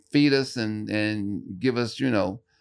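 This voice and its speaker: Ordinary pitch variation comes through as a man talks at a fairly slow pace. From US Midwest (East St. Louis, Illinois). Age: 60s. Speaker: stand-up comedian, former juvenile detention worker. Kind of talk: casual podcast interview. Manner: halting, repeats words.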